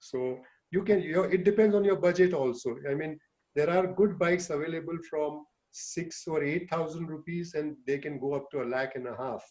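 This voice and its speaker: A man speaks in an ordinary speaking voice at a moderate pace. His pitch is fairly high, with ordinary pitch variation. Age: 60s. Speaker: urologist and cycling teacher. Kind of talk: online talk to seniors.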